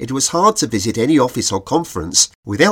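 The clip carries a natural reading voice.

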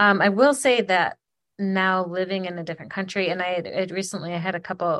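A woman with an American accent talks at a fairly quick pace, in a plain, everyday voice. Her pitch is medium with ordinary variation, and the background is quiet. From Michigan, Ypsilanti/Ann Arbor area. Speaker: podcast co-host. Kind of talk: casual chat. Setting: remote call across continents. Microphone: occasional crackly audio.

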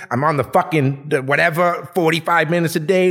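A man's fairly quick, animated, fairly high-pitched speech with vocal fry. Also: very clean recording, silent background. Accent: Boston. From Boston, East Boston. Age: 40s. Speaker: cannabis brand owner. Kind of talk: casual chat.

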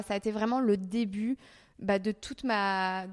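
Very slow and monotone with flat intonation, the voice comes through a very clean recording with a silent background. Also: woman. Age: 30s. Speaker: YouTuber. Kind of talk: interview. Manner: hesitant.

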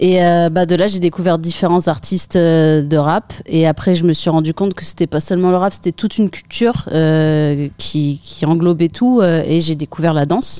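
A woman speaks with a fairly low pitch and a dark, mellow tone. Her pace is moderate with hardly any pauses, and her pitch varies in an ordinary way. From northern France, Picardy (Saint-Quentin). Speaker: breakdancer. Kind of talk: interview.

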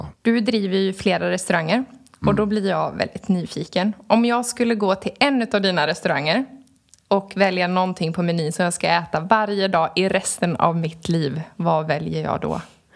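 In a plain, everyday voice, a woman speaks at a moderate pace and medium pitch with ordinary pitch variation. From Trollhättan, western Sweden. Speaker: podcast co-host. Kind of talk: casual interview.

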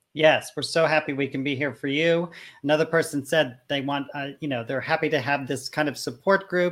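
Moderate pace in a very clean recording, background silent. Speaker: host. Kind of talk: casual panel chat.

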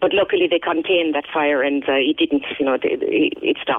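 A woman speaks with a Kerry Irish accent. Her pace is moderate. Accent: Kerry Irish, kept. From Ireland, County Kerry. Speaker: English teacher. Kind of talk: phone interview. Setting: phone call.

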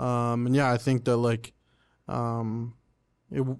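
A man with an Ontario accent speaks at a fairly slow pace and medium pitch. The background is quiet. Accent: Canadian English (Ontario). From Oshawa, Ontario, Canada. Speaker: rapper and singer-songwriter. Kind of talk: casual interview chat.

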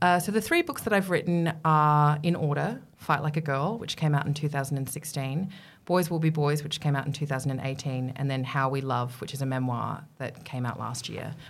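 A woman with an Australian accent, very deep and low in pitch, at a fairly quick pace with hardly any pauses and ordinary pitch variation. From Middle East, England and Australia. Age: 40s. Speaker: feminist writer and broadcaster. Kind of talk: interview conversation. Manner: talkative.

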